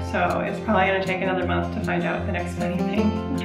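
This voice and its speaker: A woman talks very fast while clear music plays behind her. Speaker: parent vlogger. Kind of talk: casual vlog chat. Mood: cheerful, laughing often. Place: home room. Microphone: phone near.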